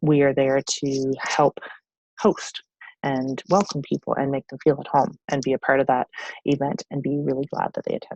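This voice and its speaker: Very deep, low female voice with a dark, mellow tone and a dry, close sound with no echo. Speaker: network marketing team leader. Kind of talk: training presentation. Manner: fast.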